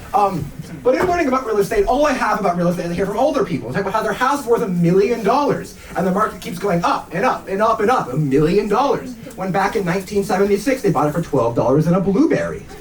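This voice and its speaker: Very fast and lively in intonation, a man with a high voice speaks over noticeable background noise. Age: young. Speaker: stand-up comedian. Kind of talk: stand-up comedy set to a live audience. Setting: live venue, small club.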